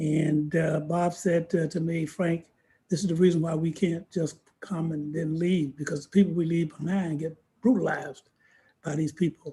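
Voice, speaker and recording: This man has an American accent and a high pitch for a man. His tone is dark and mellow, with monotone, flat intonation. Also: moderate pace. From US South, Georgia. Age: 70s. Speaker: civil rights veteran. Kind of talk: podcast interview, personal testimony.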